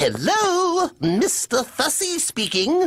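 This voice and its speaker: Very slowly and at an extremely high pitch, a cartoonish character voice speaks. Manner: prim, fretful, proper.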